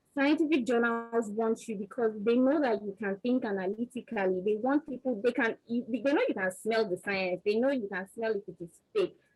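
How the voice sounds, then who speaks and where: Speaking with a Nigerian accent, a woman talks at a moderate pace with hardly any pauses, her fairly high voice showing ordinary pitch variation. Her tone is animated, and the sound is dry and close with no echo. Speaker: research scientist, panelist. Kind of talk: panel discussion.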